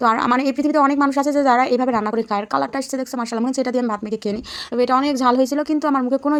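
Her voice is high in pitch for a woman, and her intonation stays fairly even. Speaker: lifestyle and cooking vlogger. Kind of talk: casual vlog narration.

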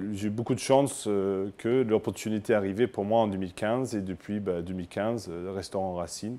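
A man speaks in a dark, mellow tone with fairly even intonation and hardly any pauses. The recording is very clean, with a silent background. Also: fairly slow pace. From Scotland. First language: English (speaking French). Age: 30s. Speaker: chef. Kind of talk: interview testimony. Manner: halting, many hesitations.

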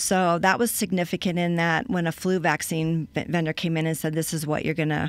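A woman with an American accent speaks at a fairly low pitch with ordinary pitch variation, in a dry sound with no echo. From Colorado. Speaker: cash flow consultant; guest. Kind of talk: interview. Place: studio. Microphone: studio mic.

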